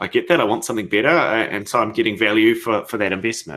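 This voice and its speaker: This man speaks with a New Zealand accent. His pitch is fairly low and his intonation is lively. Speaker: software company founder. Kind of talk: conference Q&A. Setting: virtual conference. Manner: hesitant, many fillers.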